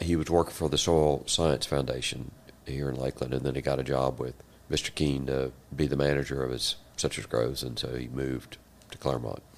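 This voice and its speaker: A man's very deep, low voice, fairly quick and monotone, with flat intonation. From Central Florida. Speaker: land broker and former state legislator. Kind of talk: interview conversation.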